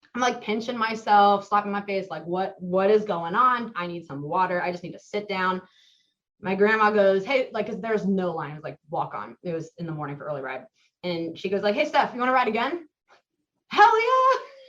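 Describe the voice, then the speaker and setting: With an American accent and a normal speaking voice, a woman talks at a medium pitch and a fairly quick pace, her intonation lively and her loudness swinging widely. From US Midwest, Mason, Ohio. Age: 20s. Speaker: podcast guest, roller coaster enthusiast. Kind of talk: casual interview, storytelling.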